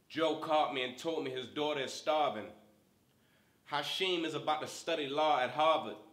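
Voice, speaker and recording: Ordinary pitch variation from a man speaking fairly high at a moderate pace, noticeable background noise behind him. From Baltimore. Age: 20s. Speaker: spoken word artist. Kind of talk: spoken word poetry performance.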